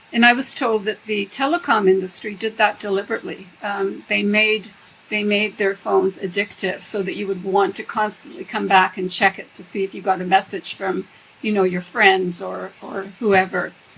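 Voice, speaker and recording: Intonation that stays fairly even, with noticeable noise in the background. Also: woman, medium pitch for a woman, moderate pace. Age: 70s. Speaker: professor emerita and EMF researcher. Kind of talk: interview.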